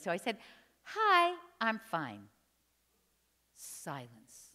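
Against a quiet background, a woman talks with an American accent. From New Jersey. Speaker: storyteller. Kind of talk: storytelling performance. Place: church.

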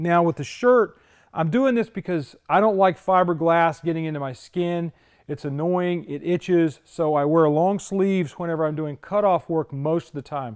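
There is a quiet background. Against it, the talking proceeds at a moderate pace. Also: man, high pitch for a man, ordinary pitch variation. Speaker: car restorer host. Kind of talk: tutorial. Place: garage.

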